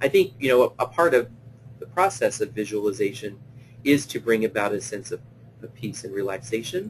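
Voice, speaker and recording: A man talking at a fairly quick pace with lively intonation and big swings in loudness, over music in the background. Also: medium pitch for a man. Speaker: play therapist presenting a webinar. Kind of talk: webinar lecture; guided visualization. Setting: online webinar. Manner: hesitant, many fillers.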